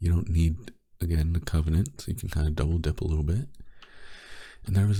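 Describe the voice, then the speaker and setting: A soft-spoken man talks with a very deep, low pitch and a dark, mellow tone. His voice is somewhat breathy, yet his intonation is lively. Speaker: gaming youtuber. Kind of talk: casual gameplay commentary. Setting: home recording at night.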